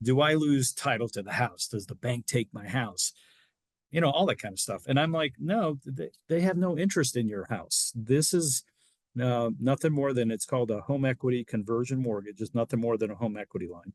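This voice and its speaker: A man speaks at a medium pitch with lively intonation and a fairly quick pace, in a normal speaking voice. The sound is dry and close with no echo, over a quiet background. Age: 60s. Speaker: reverse mortgage specialist. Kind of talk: interview. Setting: podcast.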